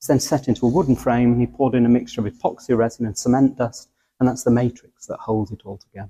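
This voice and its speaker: Talking at a very fast pace, a man with a medium pitch and a dark, mellow tone sounds somewhat breathy, his intonation fairly even but his loudness swinging widely. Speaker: church steward. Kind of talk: guided tour explanation.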